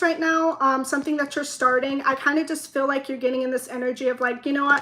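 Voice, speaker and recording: In a raised, projected voice, a woman with a high pitch speaks very fast with fairly even intonation. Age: 20s. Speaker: tarot reader. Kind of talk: tarot reading. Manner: rambling, talks in circles; trips on words.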